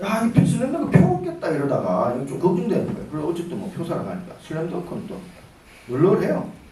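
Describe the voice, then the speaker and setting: A man at a high pitch speaking very fast, with big swings in loudness, noticeable background noise and audible room echo. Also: ordinary pitch variation. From Daegu, South Korea. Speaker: businessman and guest lecturer. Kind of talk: lecture. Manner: casual, conversational.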